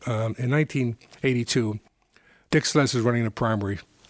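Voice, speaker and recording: Very fast, a man with an American accent speaks at medium pitch with ordinary pitch variation, on a very clean recording with a silent background and a dry, close sound with no echo. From South Bronx, New York. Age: 70s. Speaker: political strategist and consultant. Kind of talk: interview. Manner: rambling, halting with repeated words.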